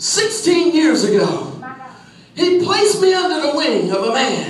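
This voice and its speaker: A loud man with an American accent speaks fairly slowly with very wide pitch swings. Noticeable background noise and audible room echo fill the recording. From Philadelphia, US. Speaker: pastor. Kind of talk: sermon. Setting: church.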